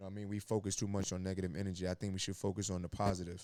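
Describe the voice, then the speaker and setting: A man's very deep, low pitch and dark, mellow tone in a New York accent, with monotone, flat intonation at a very fast pace, in a very clean recording with a silent background. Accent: New York City. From New York, Brooklyn. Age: 30s. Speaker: former college basketball player and school staff. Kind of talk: podcast interview.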